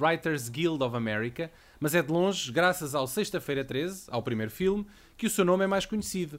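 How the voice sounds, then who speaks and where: Speaking with a European Portuguese accent, a man talks at a moderate pace with lively intonation. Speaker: podcast host. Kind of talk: casual chat.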